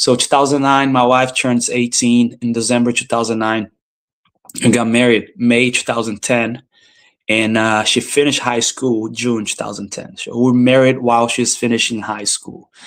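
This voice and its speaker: The man's pitch sits in the medium range, his intonation is monotone and flat, and his pace is moderate. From Brazil. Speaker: business owner. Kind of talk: interview, personal life story. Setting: live stream conversation.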